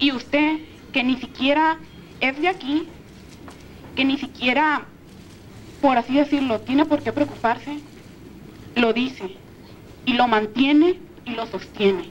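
Over light background noise, a woman with a high pitch speaks at a fairly slow pace with ordinary pitch variation and long, frequent pauses. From Mexico. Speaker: university student in audience; audience member. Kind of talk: audience question. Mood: earnest, grateful, emotional. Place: hall. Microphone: handheld.

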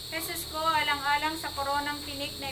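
A fairly quick pace over loud background noise. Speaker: prayer leader. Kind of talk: vigil prayer for the dead, led in call-and-response with a responder. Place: home room. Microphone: phone near.

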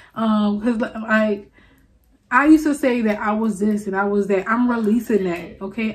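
The speaker has a New Orleans accent and a somewhat breathy voice. The pace is moderate. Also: woman. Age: 20s. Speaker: video blogger. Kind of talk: confessional monologue. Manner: casual, chatty. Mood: earnest, self-affirming. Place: home room. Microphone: studio mic.

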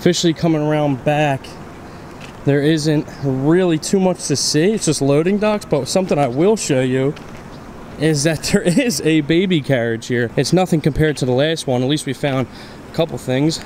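A man talks with ordinary pitch variation and a moderate pace, light background noise behind him. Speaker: urban explorer vlogger. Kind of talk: casual vlog chat. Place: street. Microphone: phone near.

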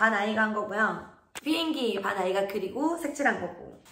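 Recorded with audible room echo, a woman speaks at a fairly quick pace. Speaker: kindergarten teacher. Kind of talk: casual tutorial explanation. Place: classroom. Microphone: phone near.

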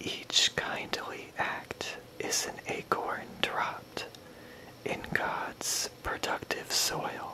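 Whispering in a gentle, soothing tone at a very slow pace, the speaker is heard over noticeable background noise. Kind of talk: poetry reading, ASMR-style reading aloud. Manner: slow, soft-spoken, gentle and soothing.

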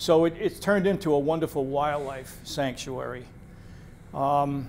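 Over light background noise, a man with a New England accent speaks with fairly even intonation. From central Massachusetts (Athol); Massachusetts. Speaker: retired naturalist and wildlife photographer; presenter. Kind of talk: public talk with slideshow. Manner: halting, frequent fillers. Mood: relaxed storytelling, friendly. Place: meeting room.

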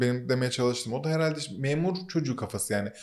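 The speaker is a man. His pitch sits fairly high. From Turkey, Muğla (born Ankara). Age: 30s. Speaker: media startup co-founder. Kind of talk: casual interview. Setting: studio.

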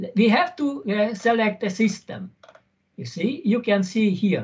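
Over a quiet background, a man speaks very slowly at a high pitch with ordinary pitch variation. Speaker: university lecturer; conference presenter, university teacher. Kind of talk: conference presentation. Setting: video call. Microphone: video call.

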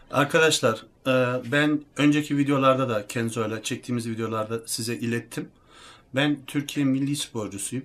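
Over a silent background in a very clean recording, a man with an ordinary speaking voice talks at a moderate pace, medium in pitch, with fairly even intonation. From Germany (Turkish heritage). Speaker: athlete and fitness YouTuber. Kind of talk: casual talk to camera.

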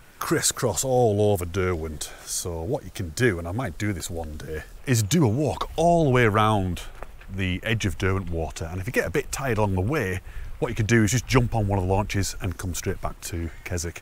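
A man with a normal speaking voice, fairly low in pitch, at a fairly quick pace with lively intonation, in a dry sound with no echo. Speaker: hiking vlogger. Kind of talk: casual vlog chat. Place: waterside. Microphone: lapel.

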